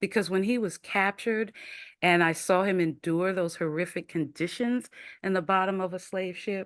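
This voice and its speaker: A woman with a plain, everyday voice talks at a moderate pace and medium pitch against a quiet background. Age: 60s. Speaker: diversity and listening trainer, speaker. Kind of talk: webinar talk.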